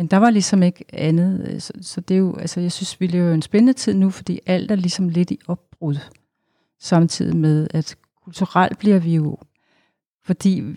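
A woman talks at a fairly slow pace, her pitch fairly low and her intonation fairly even. Her tone is dark and mellow, and the sound is dry and close with no echo. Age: 60s. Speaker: psychotherapist at a women's shelter, jazz singer. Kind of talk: casual chat.

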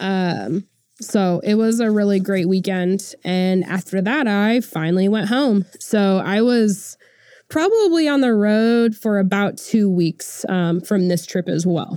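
In a very clean recording with a silent background, a woman with an American accent speaks fairly slowly in a medium pitch, her dark, mellow tone held at very even loudness with ordinary pitch variation. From Oklahoma. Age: 30s. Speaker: podcast host. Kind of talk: casual personal storytelling.

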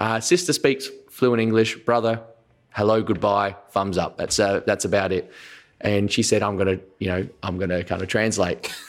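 On a very clean recording with a silent background, a man uses an ordinary speaking voice, fairly low in pitch, with fairly even intonation and a moderate pace. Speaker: comedian. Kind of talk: casual chat.

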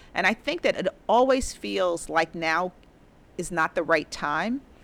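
In a very clean recording with a silent background, a woman with an American accent and a medium pitch uses lively intonation in an ordinary speaking voice. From New York City, the Bronx. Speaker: investment executive. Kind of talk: interview.

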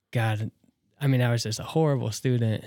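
A man with a Midwestern American accent speaks at a moderate pace in a medium pitch with fairly even intonation, in a very clean recording with a silent background. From US Midwest, northeast Nebraska. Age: 20s. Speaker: skate shop owner. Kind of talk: casual interview.

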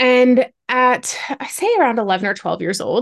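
A woman speaks in a high pitch with a Canadian accent. Her intonation is lively, and the background is quiet. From Ontario, Canada. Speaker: activist and trafficking survivor. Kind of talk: interview testimony.

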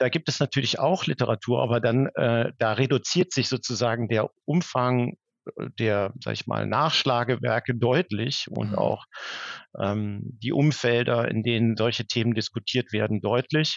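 The man speaks at a fairly slow pace. His medium pitch shows ordinary pitch variation. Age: 40s. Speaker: HR director. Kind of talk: interview. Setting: video call. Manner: halting, many fillers.

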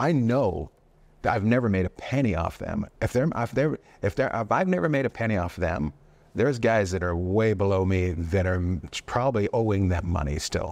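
In a plain, everyday voice, a man speaks at a moderate pace with fairly low pitch and lively intonation against a quiet background. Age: 50s. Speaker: stand-up comedian. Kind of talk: casual interview.

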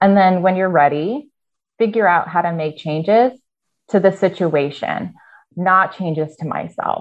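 With a Midwestern American accent, a woman speaks at a fairly slow pace. Her pitch is medium with ordinary variation. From US Midwest (Iowa). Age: 30s. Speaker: university program leader and hospice volunteer. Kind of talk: interview.

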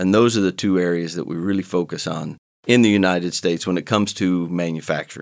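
Speaking with an American accent, a man with a very deep, low pitch talks at a fairly quick pace with ordinary pitch variation, on a very clean recording with a silent background. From Ohio, US. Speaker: company executive. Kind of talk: interview.

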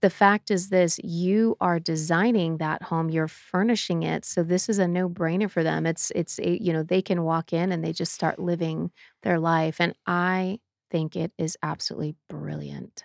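With fairly even intonation and a moderate pace, a woman talks at a fairly low pitch in an unremarkable speaking voice, the sound dry and close with no echo. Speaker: podcast co-host. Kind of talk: casual chat.

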